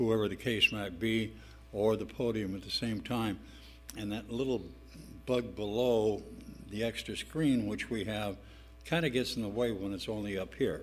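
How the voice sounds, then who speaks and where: Music plays in the background as a man with a fairly low pitch and ordinary pitch variation speaks at a moderate pace, with audible room echo. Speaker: city council member. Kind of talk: council meeting discussion. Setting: council chamber. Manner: loud.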